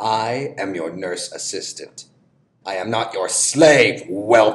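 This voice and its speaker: Speaking at a fairly slow pace, a man uses a cartoonish character voice at a medium pitch. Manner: haughty, commanding, angry.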